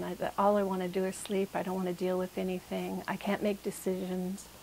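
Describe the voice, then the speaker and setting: A woman's monotone, flat voice over noticeable background noise. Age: 60s. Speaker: patient. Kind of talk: testimony.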